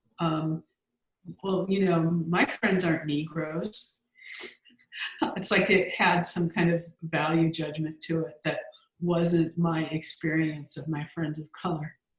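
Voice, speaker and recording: A woman's fairly low, monotone voice with an American accent, flat in intonation, at a very slow pace with long, frequent pauses. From Southern California, Los Angeles. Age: 60s. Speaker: grant researcher and writer. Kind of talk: casual interview. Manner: halting, many fillers.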